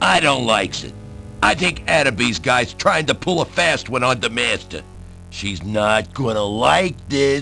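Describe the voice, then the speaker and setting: A man puts on a rumbling character voice at medium pitch. He speaks at a moderate pace over clear background noise. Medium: video game. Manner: grumbling, ungrammatical.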